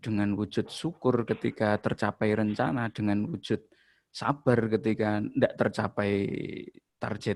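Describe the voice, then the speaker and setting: Vocal fry and a strong East Javanese accent. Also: man. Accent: thick Javanese (East Java). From East Java, Ponorogo. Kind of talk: casual religious comment in group video call. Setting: video call, camera off. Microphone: laptop.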